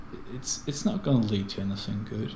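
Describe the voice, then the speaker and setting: A man speaks with a fairly low pitch, and the room echo is audible. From Switzerland. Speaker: guest co-player. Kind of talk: casual chat during gameplay. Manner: halting.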